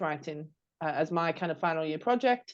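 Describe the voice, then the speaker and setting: A woman talks at a moderate pace with a British accent. Her pitch sits fairly low, and the background is quiet. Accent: British accent, noticeable. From United Kingdom. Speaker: podcast co-host, marketing strategist and coach. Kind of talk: casual chat. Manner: hesitant, many fillers and restarts.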